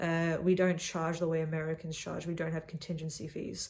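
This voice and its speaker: A woman speaks with an Australian accent. Her pitch is fairly low. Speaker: young consultant vlogger. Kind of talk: casual monologue vlog. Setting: in a cabin.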